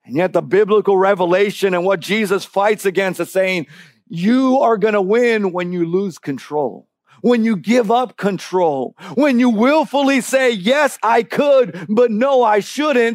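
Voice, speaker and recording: This man's high-pitched voice moves with lively intonation. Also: fairly slow pace. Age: 40s. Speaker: guest preacher and camp staff. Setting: church service. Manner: building, emphatic cadence with rhetorical questions and 'Oh' exclamations; conversational asides with frequent filler 'uh' and repetitions.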